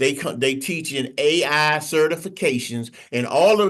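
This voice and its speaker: Against a quiet background, a man speaks at a fairly slow pace with lively intonation. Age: 60s. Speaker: AI instructor. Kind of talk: teaching session.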